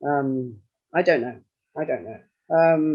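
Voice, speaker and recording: A man talks at a moderate pace in a fairly high pitch. He has a plain, everyday voice with fairly even intonation. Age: 60s. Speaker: retired university worker, EU citizen speaker. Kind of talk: personal testimony at an online meeting.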